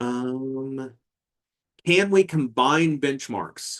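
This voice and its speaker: On a dry, close recording with no echo, a man at medium pitch speaks very slowly with lively intonation. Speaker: tech presenter. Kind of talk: webinar demo with audience Q&A.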